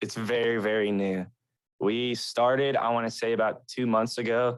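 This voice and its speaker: In an American accent, a man talks at a medium pitch with monotone, flat intonation over a quiet background. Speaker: emo band musician. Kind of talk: casual chat. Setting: podcast recording.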